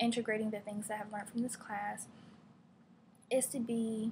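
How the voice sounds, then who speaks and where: This woman talks with an American accent and a somewhat breathy sound. Her intonation is monotone and flat. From Virginia, Gloucester (US South). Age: 20s. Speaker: graduate student. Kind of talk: class presentation. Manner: hesitant, many fillers.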